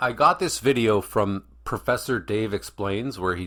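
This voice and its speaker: On a very clean recording with a silent background, a man talks in a plain, everyday voice, fairly low in pitch with ordinary pitch variation. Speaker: reaction video commentator. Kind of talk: casual reaction commentary.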